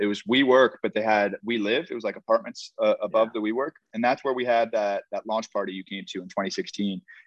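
This man has an unremarkable speaking voice at a medium pitch. He talks at a fairly quick pace. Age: 20s. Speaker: beverage startup founder. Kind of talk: casual interview chat.

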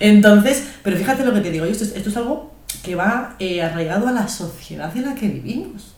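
A woman with a Spanish accent speaks at a fairly quick pace with lively intonation. Noticeable background noise runs underneath. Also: medium pitch for a woman. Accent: Spanish, fully. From Spain, Guadalajara. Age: young. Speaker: podcast co-host. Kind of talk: casual chat.

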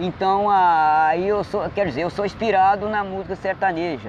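A man talks over noticeable background noise. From Minas Gerais interior, raised in Espírito Santo. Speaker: amateur singer-songwriter. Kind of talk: street interview. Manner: halting.

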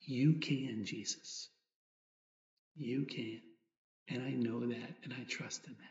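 The voice is calm, gentle and somewhat breathy, with fairly even intonation. It moves at a very slow pace, with long, frequent pauses and big swings in loudness. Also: man, medium pitch for a man. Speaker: priest leading meditation. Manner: slow, calm, reflective, with gentle pauses and a prayerful tone; soft-spoken, intimate, sincere and devotional.

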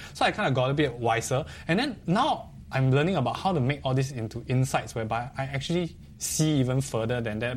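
Speaking fairly quickly with a Singaporean accent, a man uses a medium pitch, ordinary pitch variation and some vocal fry. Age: 30s. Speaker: talk show host. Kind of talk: interview.

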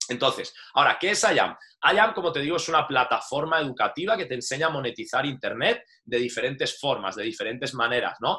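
This man's voice has a bright, sharp tone and sits fairly high in pitch. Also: lively intonation, fairly quick pace. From Spain, Valencia. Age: 30s. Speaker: online business promoter, former soldier. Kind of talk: sales pitch. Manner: casual, frequent filler tags.

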